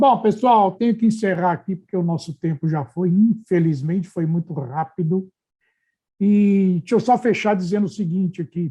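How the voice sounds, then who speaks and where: A man talks at a moderate pace with a high pitch and a dark, mellow tone. His pitch variation is ordinary, and the background is quiet. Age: 60s. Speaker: podcast host. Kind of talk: casual chat.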